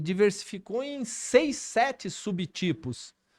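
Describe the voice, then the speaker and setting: The recording is very clean, with a silent background. A man speaks high-pitched with lively intonation. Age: 60s. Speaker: cardiovascular surgeon and vice mayor. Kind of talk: podcast interview.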